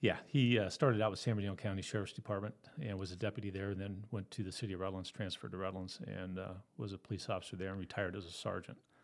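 Very fast and fairly even in intonation, a man speaks at a fairly low pitch with an American accent. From Southern California. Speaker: retired police officer. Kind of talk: interview, personal story.

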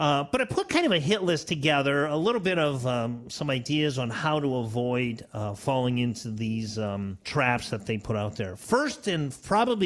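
A man with an ordinary speaking voice, medium pitch, lively intonation and a moderate pace. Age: 60s. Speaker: financial advisor and radio show co-host. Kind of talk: casual chat. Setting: studio.

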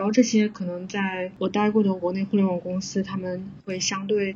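At a moderate pace, a woman talks at a medium pitch in a flat monotone. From southern China. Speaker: software engineer. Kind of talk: casual interview chat.

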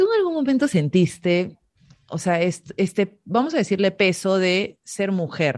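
Against a quiet background, a normal speaking voice moves at a fairly slow pace with lively intonation. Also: woman, medium pitch for a woman. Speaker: podcast host. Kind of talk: interview conversation.

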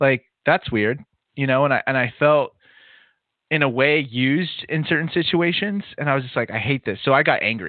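Speaking at a fairly quick pace, a man with a Californian accent uses a medium pitch with ordinary pitch variation. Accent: Californian American English. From Southern California. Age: 30s. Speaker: podcast studio founder, adjunct professor. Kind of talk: casual interview conversation.

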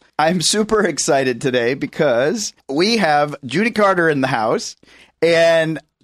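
Lively intonation marks a man's fairly high, plain, everyday voice in a very clean recording with a silent background, the sound dry and close with no echo. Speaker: podcast host. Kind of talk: casual interview chat.

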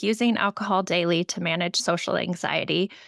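A woman speaks in a normal speaking voice at a moderate pace with ordinary pitch variation, her sound dry and close with no echo on a very clean recording with a silent background. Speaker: podcast host, nurse and health coach. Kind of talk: interview, casual conversation.

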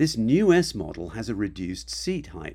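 This man talks at a moderate pace in a fairly low, fry-laden voice with very wide pitch swings, on a very clean recording with a silent background. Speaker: podcast host. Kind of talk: scripted intro.

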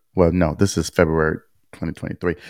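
A man's voice with a dry, close sound and no echo. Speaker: podcast host. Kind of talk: casual podcast chat discussing a legal case. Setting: video recording with screen sharing.

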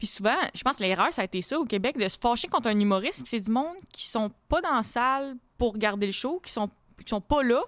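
Talking at a fairly quick pace, a woman with a fairly high pitch uses lively intonation, and the sound is dry and close with no echo. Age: 20s. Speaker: comedian. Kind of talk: casual chat.

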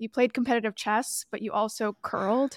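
A woman speaks in a plain, everyday voice with a Canadian accent, her pitch fairly high and her pace fairly quick. Her intonation stays fairly even, and the very clean recording has a silent background and a dry, close sound with no echo. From Toronto, Canada. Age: 20s. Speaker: podcast host and online creator.

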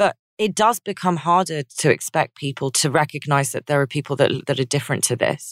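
In a London accent, a woman with a very deep, low voice speaks at a fairly quick pace with hardly any pauses, the sound dry and close with no echo. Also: ordinary pitch variation, very clean recording, silent background. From London, England. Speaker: writer and editor. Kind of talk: podcast interview conversation.

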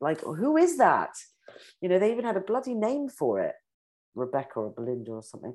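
A woman's medium-pitched voice in a British accent, very fast pace, very wide pitch swings, big swings in loudness, long and frequent pauses, quiet background. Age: 50s. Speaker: beauty industry executive. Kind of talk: interview.

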